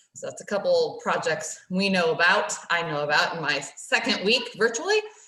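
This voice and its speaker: A woman with an American accent speaks at a moderate pace while noticeable noise runs behind her. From United States. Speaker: council garden staff member. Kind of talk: casual chat.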